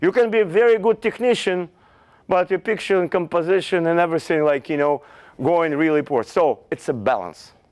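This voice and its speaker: A man with a Russian accent speaks at a high pitch with lively intonation, in a dry, close sound with no echo against a quiet background. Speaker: fashion photographer. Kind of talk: lecture. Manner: halting.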